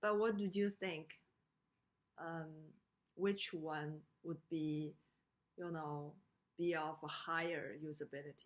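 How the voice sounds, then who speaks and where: Very slowly, with long, frequent pauses, a woman speaks in a Chinese accent, her very deep, low pitch held in fairly even intonation. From China. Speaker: lecturer. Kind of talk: lecture. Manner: halting, many fillers.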